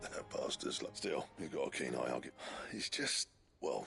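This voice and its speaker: This man uses a put-on character voice that is raspy and gruff. He speaks at a moderate pace. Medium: video game. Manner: blunt, gruff.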